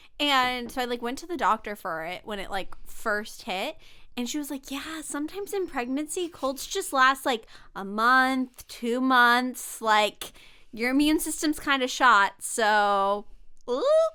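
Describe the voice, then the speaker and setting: A woman projects a raised voice with a high pitch and a bright, sharp tone. She speaks fairly slowly with lively intonation in a very clean recording with a silent background. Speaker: podcast co-host. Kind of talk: casual chat.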